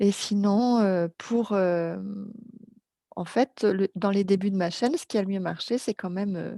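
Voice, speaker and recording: In a very clean, dry, close recording with a silent background and no echo, a woman with a dark, mellow tone speaks very slowly with fairly even intonation and long, frequent pauses. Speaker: storyteller blogger. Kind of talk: interview.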